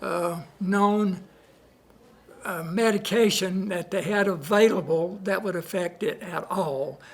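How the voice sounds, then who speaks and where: A man with a Southern US accent speaks at a high pitch. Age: 80s+. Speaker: patient. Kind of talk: testimony. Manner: halting.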